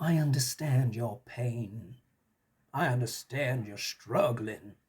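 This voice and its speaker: A man uses a put-on character voice at a medium pitch, speaking at a fairly slow pace. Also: ordinary pitch variation. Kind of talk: political rhetoric. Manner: mocking, condescending.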